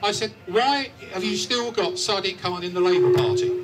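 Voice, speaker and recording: A man talks at a high pitch with very wide pitch swings. There is noticeable background noise. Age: 60s. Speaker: campaign group leader speaking at a rally. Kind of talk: rally speech. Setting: outdoor rally with crowd and PA.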